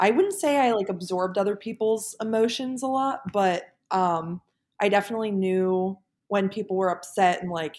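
An ordinary speaking voice comes from a woman with an American accent, talking at a moderate pace with ordinary pitch variation on a very clean recording with a silent background. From US, Pennsylvania (Philadelphia suburbs). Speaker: engineer and former college athlete. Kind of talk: casual interview.

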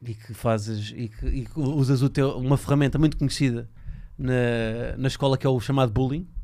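A man's medium-pitched voice, dark and mellow in tone, at a moderate pace with fairly even intonation. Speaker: podcast host. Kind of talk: casual chat.

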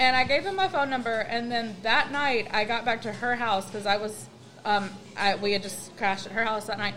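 With an American accent, a woman talks at a fairly quick pace in a fairly high pitch against noticeable background noise. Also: ordinary pitch variation. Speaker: guest. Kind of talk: casual chat.

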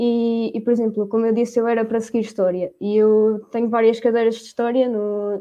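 In a dark, mellow tone, a woman speaks at a fairly high pitch with monotone, flat intonation. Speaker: university student. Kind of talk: casual chat.

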